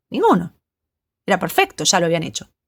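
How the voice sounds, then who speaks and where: Talking at a very fast pace, a woman speaks with a Rioplatense accent. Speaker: psychologist. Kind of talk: personal monologue addressing someone. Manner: halting.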